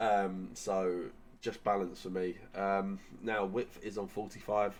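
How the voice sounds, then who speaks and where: Speaking very slowly with an English accent, a man uses a fairly low pitch and a monotone, flat intonation. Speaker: gaming YouTuber. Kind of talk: gaming tutorial. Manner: casual, filler-heavy.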